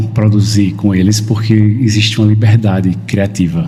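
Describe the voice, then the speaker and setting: A man speaks slowly-ish at a fairly low pitch, with a northeastern Brazilian accent. The recording has audible room echo and noticeable background noise. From Northeast Brazil, interior of Paraíba. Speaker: photographer. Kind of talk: podcast interview.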